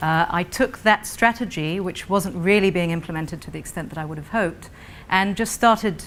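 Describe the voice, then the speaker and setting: The pace is moderate. A woman talks with a British accent. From Britain, raised mostly in Israel. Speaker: non-profit founder, panelist. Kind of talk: conference panel presentation.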